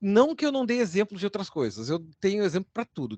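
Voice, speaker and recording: The speaker has a southern Brazilian accent and a fairly quick pace. The sound is dry and close, with no echo. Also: man. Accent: gaúcho Brazilian Portuguese, noticeable. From Rio Grande do Sul, southern Brazil. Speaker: university lecturer. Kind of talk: informal lecture. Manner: conversational.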